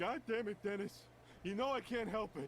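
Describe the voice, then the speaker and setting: Putting on a whiny character voice with a whiny tone and a high pitch, a man speaks at a moderate pace with ordinary pitch variation over light background noise. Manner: whiny, pleading.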